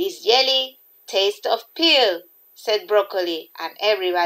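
Quiet surroundings and an unforced reading voice

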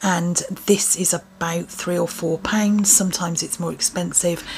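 In an English accent, a woman speaks with a fairly low pitch. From England. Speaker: beauty vlogger; lifestyle vlogger. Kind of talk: casual product review. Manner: chatty, casual. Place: home room. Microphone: phone near.

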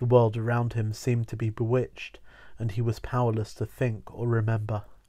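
A text read aloud in a natural voice

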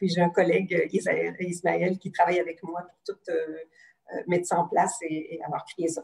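A somewhat breathy woman at a moderate pace over a quiet background. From Quebec. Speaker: psychologist; guest. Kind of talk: casual interview. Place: home room. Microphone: video call.

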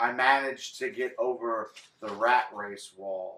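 A man talks at a fairly slow pace in a bright, sharp tone. The room echo is audible. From Texas, Galveston; Texas. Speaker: poet. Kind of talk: poetry reading. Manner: expressive. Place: home room. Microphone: camera far.

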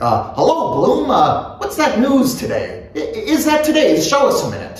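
In a put-on character voice, a man speaks at a moderate pace with an extremely high pitch and very wide pitch swings, and the room echo is strong.

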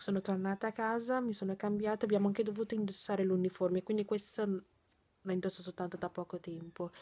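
Very fast delivery in a monotone, flat intonation. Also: woman. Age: 20s. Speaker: vlogger and nursing student; vlogger. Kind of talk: casual vlog. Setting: in her bedroom. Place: home room. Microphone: phone near.

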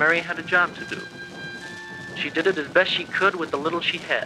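A high-pitched man at a fairly quick pace over clear background music. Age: 20s. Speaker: university student. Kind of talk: speech class tribute narration. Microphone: old recording.

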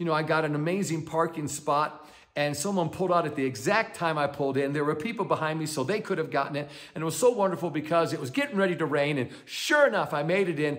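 A man talks at a fairly quick pace with ordinary pitch variation over a quiet background. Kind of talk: devotional teaching talk. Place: home room. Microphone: phone near.

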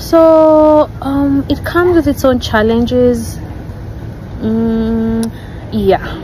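Light background noise accompanies a woman speaking at a very slow pace, in a dry sound with no echo. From Kenya, Nairobi; Kenya. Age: young. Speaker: wife of a YouTuber; vlogger. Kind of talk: personal video addressing rumours. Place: garden.

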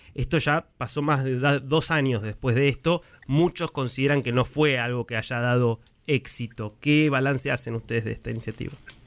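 At a moderate pace, a man with an ordinary speaking voice speaks at a medium pitch with fairly even intonation. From Argentina. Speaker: radio journalist. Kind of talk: radio interview.

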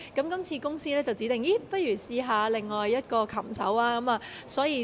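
Over light background noise, a woman with a fairly high pitch speaks at a fairly quick pace. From Hong Kong. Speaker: singer. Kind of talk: media interview. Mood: friendly, encouraging.

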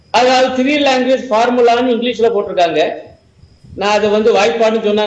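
A man speaks in an animated tone at an extremely high pitch, with audible room echo around him. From Tamil Nadu, India. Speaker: professor and Marxist political commentator; professor, Marxist political commentator. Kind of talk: televised panel debate. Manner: animated, argumentative. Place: home room. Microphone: earbuds.

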